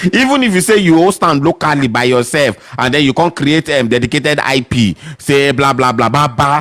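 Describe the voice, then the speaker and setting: Amid noticeable background noise, a man with a fairly high pitch speaks at a fairly quick pace, with ordinary pitch variation and very even loudness. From northern Nigeria, Sokoto. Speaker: tech podcast host. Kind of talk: live Q&A discussion. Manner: animated.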